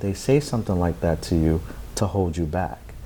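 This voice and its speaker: Talking at a fairly quick pace, a man uses a normal speaking voice with ordinary pitch variation. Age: 40s. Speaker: founder of an anti-bullying organization. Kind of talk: interview.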